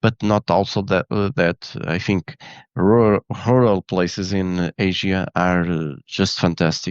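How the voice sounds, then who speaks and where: Over a quiet background, a man with a Portuguese accent talks at a fairly slow pace and a very deep, low pitch, with ordinary pitch variation and a dry, close sound with no echo. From Portugal. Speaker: photographer and engineer. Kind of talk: interview. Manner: halting.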